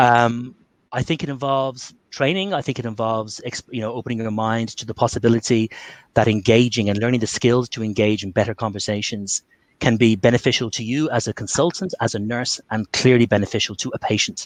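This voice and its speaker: A man with an Irish accent speaks at a medium pitch and a fairly quick pace. The sound is dry and close with no echo, over a quiet background. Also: ordinary pitch variation. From Ireland. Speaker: Covid survivor and communication trainer. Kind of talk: webinar talk with Q&A.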